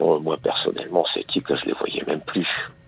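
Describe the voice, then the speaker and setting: Noticeable background noise beneath a man speaking at a moderate pace. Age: 60s. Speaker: radio caller. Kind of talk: phone-in testimony. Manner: halting; more animated when talking about choir.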